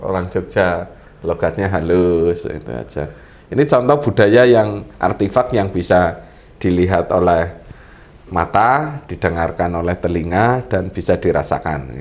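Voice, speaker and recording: At a fairly slow pace, a man with a very deep, low voice speaks with lively intonation. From Central Java, Purbalingga (Banyumas area). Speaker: government official, talk show resource person. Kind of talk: talk show explanation.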